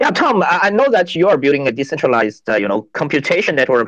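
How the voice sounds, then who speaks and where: Pitched fairly high, a man speaks with a Chinese accent. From China. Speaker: venture capital partner, co-host. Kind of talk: panel discussion. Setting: online audio space.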